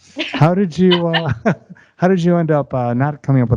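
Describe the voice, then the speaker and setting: It's a plain, everyday voice with lively intonation. The pace is fairly quick, and the background is quiet. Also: man. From US Midwest. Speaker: podcast co-host. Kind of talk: casual interview banter.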